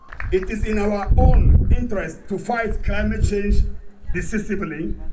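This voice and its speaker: Noticeable background noise and audible room echo surround a man with a high voice. He keeps fairly even intonation at a moderate pace. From Ghana. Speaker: activist speaker. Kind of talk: rally speech.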